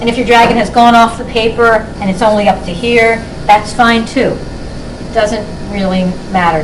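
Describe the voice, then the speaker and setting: A woman's fairly high voice with fairly even intonation, plus noticeable background noise and audible room echo. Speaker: children's book author and illustrator. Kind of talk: drawing tutorial. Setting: classroom with children.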